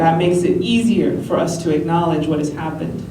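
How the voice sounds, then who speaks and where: Noticeable background noise runs under this woman's speech. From New Mexico. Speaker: spoken word poet. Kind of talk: speech to a live audience. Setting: live event, no microphone.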